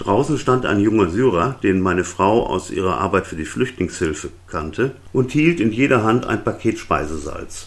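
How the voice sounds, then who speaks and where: The speaker has an ordinary speaking voice with lively intonation. Delivery runs at a moderate pace with hardly any pauses. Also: man, fairly low pitch for a man. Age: 60s. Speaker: podcaster, retired web publisher. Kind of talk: solo monologue podcast.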